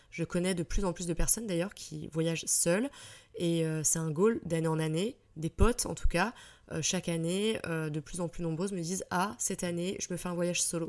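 On a very clean recording with a silent background, a woman speaks at a moderate pace. Her pitch is fairly low, with ordinary variation. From France, Île-de-France (Fontainebleau) and Troyes. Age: 30s. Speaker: podcaster. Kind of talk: casual solo storytelling. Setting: solo at the microphone. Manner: spontaneous, many hesitations (euh).

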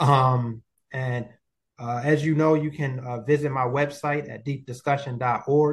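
A man with an American accent sounds somewhat breathy. His pace is fairly slow and his intonation fairly even. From Baltimore, Maryland. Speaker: podcast host and life skills coach. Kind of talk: interview.

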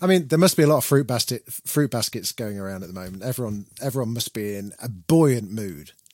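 Someone with a British accent talks at a fairly quick pace, with lively intonation and big swings in loudness. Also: man, medium pitch for a man. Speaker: podcast host. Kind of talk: casual chat.

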